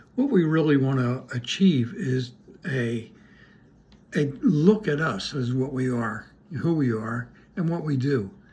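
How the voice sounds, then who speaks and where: The man's voice is medium in pitch and somewhat breathy, with lively intonation. He speaks at a fairly slow pace with long, frequent pauses. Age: 80s+. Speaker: retired sailor and wellness co-host. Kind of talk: casual chat. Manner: hesitant, many fillers.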